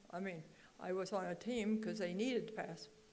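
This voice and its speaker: Audible room echo surrounds a woman speaking at a moderate pace in an American accent. Her medium-pitched voice is monotone and flat. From Oregon, US. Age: 80s+. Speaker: songwriter. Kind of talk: speech to an audience. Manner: halting.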